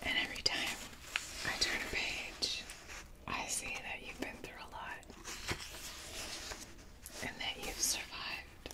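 A soft-spoken woman whispers with long, frequent pauses over loud background noise. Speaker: content creator. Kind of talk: soft, intimate address to the viewer. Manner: soft whispered, tender and slow. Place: home room.

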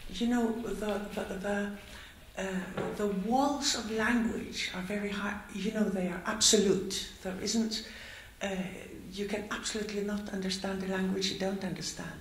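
Heard with audible room echo, a woman speaks at a moderate pace and medium pitch in a monotone, flat intonation. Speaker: audience member. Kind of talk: audience question. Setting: stage with audience. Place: hall.

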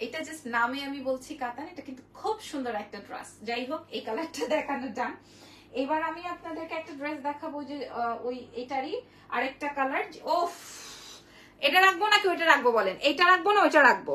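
A woman's high, raised, projected voice with lively intonation and big swings in loudness, with audible room echo and light background noise. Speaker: online boutique seller. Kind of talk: live sales stream. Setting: live video stream. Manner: animated. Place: shop. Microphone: phone near.

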